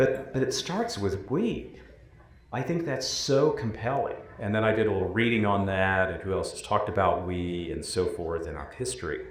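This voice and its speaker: A somewhat breathy man with a fairly low pitch speaks at a moderate pace with lively intonation, with audible room echo around him. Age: 60s. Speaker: former higher education commissioner. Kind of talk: panel discussion.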